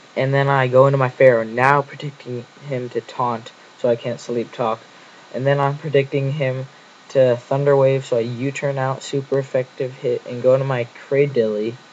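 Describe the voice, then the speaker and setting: A man speaks in a flat monotone over noticeable background noise. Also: medium pitch for a man, moderate pace. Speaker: gaming commentator. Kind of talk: game commentary narration.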